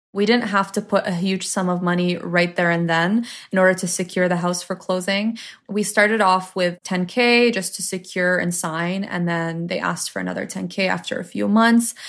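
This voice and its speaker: Speaking at a moderate pace with fairly even intonation and a medium pitch, a woman with a Canadian accent has a normal speaking voice. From Ontario, Canada (Toronto area). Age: 20s. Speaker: social media influencer. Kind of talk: interview storytelling.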